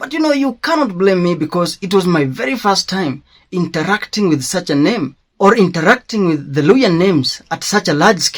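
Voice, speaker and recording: Speaking at a moderate pace, a man with a high-pitched voice lets his pitch swing very widely. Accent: Kenyan. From Kenya, Kikuyu. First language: Kikuyu. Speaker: schoolteacher. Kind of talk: personal commentary monologue.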